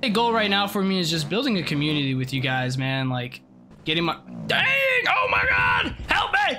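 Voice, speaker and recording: Someone is shouting at a moderate pace over noticeable background noise. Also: man. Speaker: gaming streamer. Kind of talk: gameplay commentary. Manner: loud; high-energy, animated. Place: home room.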